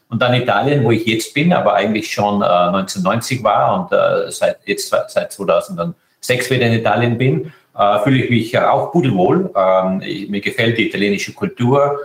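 A man speaks at a moderate pace. His loudness stays very even throughout. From Austria, Tyrol. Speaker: space agency director. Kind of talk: interview. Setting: internet call.

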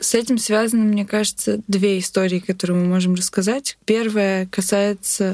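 The speaker is a woman. She talks with monotone, flat intonation. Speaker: literature student researcher. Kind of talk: interview.

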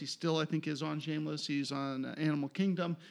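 This very clean recording with a silent background carries a normal speaking voice with an American accent and fairly even intonation. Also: man. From Pennsylvania, Philadelphia suburbs. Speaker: TV writer. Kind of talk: casual chat.

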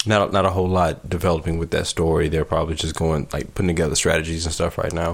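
A man with a very deep, low voice speaks at a very fast pace. His intonation is monotone and flat, with noticeable background noise. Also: hardly any pauses. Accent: American. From US South, Alabama (near Selma). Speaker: podcast host. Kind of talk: casual chat.

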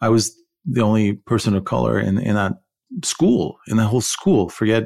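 The recording is very clean with a silent background. A man with an American accent speaks with vocal fry. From Iran, raised partly in California. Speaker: podcast co-host. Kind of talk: casual chat.

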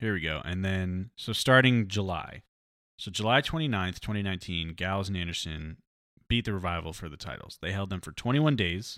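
A man speaks at a fairly quick pace with a very deep, low pitch, a bright, sharp tone and lively intonation. The recording is very clean, with a silent background. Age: 20s. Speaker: sports podcast host. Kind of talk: casual solo commentary. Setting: live stream.

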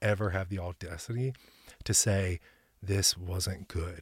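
A man speaks at a fairly low pitch, his voice somewhat breathy. The recording is very clean with a silent background and a dry, close sound with no echo. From Middle Tennessee. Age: 40s. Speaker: gym owner. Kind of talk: casual chat.

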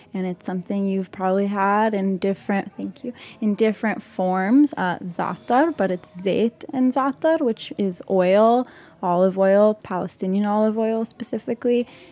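An American accent marks this woman's dark, mellow voice, which has ordinary pitch variation. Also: medium pitch for a woman, moderate pace. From Utah and the West Bank. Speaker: chef and artist. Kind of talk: casual chat.

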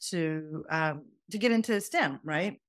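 A woman with a fairly low pitch and a slight Southern US accent is heard on a very clean recording with a silent background. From Pakistan, then Atlanta Georgia. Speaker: professor and mentoring consultant. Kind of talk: casual interview chat.

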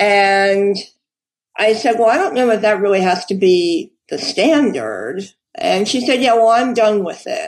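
With an American accent and an ordinary speaking voice, a woman speaks fairly slowly at a fairly high pitch with lively intonation. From New York City. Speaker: crime novelist. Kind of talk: interview.

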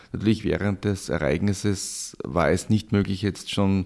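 A very deep, low male voice, captured on a very clean recording against a silent background. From Austria, Styria. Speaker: professor, flood researcher. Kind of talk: interview.

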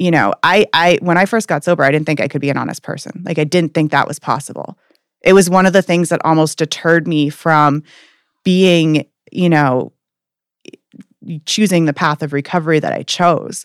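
A woman with an American accent uses an ordinary speaking voice at a fairly low pitch, with ordinary pitch variation and a moderate pace. The sound is dry and close with no echo, in a very clean recording with a silent background. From Maine, US (Portland). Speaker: addiction counselor. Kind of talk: interview. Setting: in person.

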